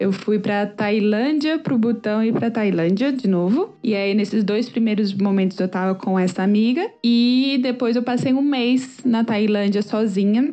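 Here is a normal speaking voice with ordinary pitch variation. The pace is moderate. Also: woman, fairly high pitch for a woman. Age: 30s. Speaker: startup founder. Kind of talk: interview.

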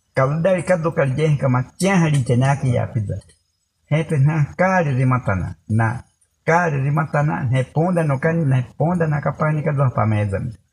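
A man speaks at a fairly high pitch with ordinary pitch variation. His voice is somewhat breathy and his pace fairly slow. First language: Baniwa (speaking Portuguese). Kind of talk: storytelling. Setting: around a fire in a longhouse at night.

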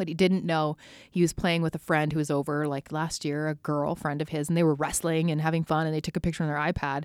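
In a very clean recording with a silent background, a woman with a very deep, low pitch speaks very fast in a monotone, flat intonation. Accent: Western Canadian. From Alberta, Canada (Spruce Grove near Edmonton). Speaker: guest, mother. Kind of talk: casual chat. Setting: basement studio.

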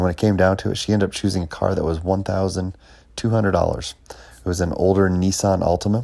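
Delivered at a very fast pace, the speech keeps fairly even intonation. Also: man. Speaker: podcast host, parent giving financial advice. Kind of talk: solo monologue.

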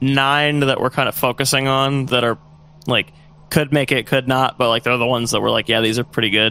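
Recorded dry and close with no echo, a man has a normal speaking voice at a medium pitch with fairly even intonation. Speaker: band member, musician. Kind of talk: casual interview chat.

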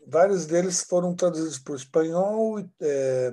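The voice has a dark, mellow tone. Its intonation is lively. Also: man. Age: 50s. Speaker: spiritual book publisher representative. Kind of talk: casual chat.

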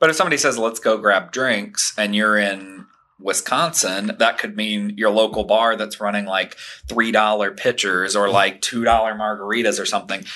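This man's tone is bright and sharp, and his pitch sits fairly low. His pitch variation is ordinary. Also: moderate pace. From Tennessee. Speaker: real estate agent, co-host. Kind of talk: casual chat. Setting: studio.

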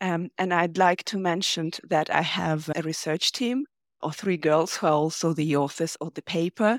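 Speaking at a moderate pace, a woman with an ordinary speaking voice sits fairly low in pitch with ordinary variation, in a very clean recording with a silent background. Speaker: linguistics researcher. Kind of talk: interview about research.

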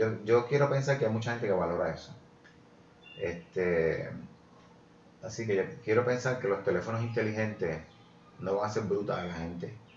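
Audible room echo and noticeable background noise fill the space as a man with a fairly low pitch talks at a moderate pace, with long, frequent pauses and ordinary pitch variation. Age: 50s. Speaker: journalist. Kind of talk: casual chat.

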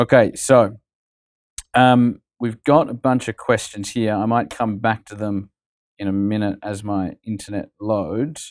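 A man with an Australian accent talks fairly slowly in a fairly low voice, with fairly even intonation but big swings in loudness. The recording is very clean and dry, close with no echo, over a silent background. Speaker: podcast interviewer. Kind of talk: casual interview chat.

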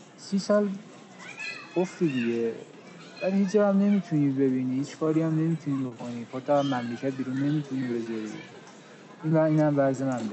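A man's fairly high voice with ordinary pitch variation, long and frequent pauses, and crowd noise behind him. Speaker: podcast co-host. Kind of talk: casual chat. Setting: outdoors on a park bench.

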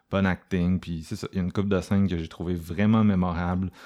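Here a man speaks with a Quebec accent. The recording is very clean, with a silent background. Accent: Québécois French. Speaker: horror film podcast host. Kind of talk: casual chat.

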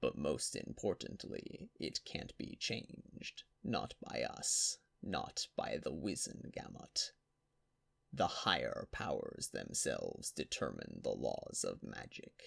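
A man's raspy, put-on character voice, extremely high-pitched, at a fairly slow pace. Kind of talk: fantasy audiobook character voice. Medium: read story. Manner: grand, formal storytelling, shifting to agitated.

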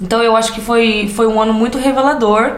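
A fairly high-pitched woman, with audible room echo and noticeable background noise. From interior of São Paulo state, Brazil. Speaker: podcast co-host, immigrant, children's educator. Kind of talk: casual chat. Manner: loud; talkative.

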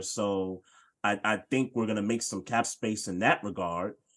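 A man speaks in an ordinary speaking voice at medium pitch, moderate in pace, with ordinary pitch variation. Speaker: podcast host, sports talk. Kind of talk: casual sports podcast chat. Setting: online livestream.

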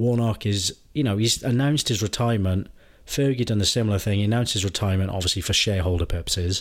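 Very fast speech in a Welsh accent, with ordinary pitch variation and very even loudness. The recording is very clean, with a silent background. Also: man, fairly low pitch for a man. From Wales. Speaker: football podcast co-host. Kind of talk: casual chat.

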